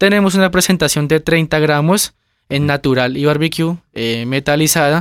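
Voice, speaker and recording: The sound is dry and close with no echo, in a very clean recording with a silent background. A man speaks at a fairly high pitch and a moderate pace with ordinary pitch variation. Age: 20s. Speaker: family business manager. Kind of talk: interview. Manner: halting.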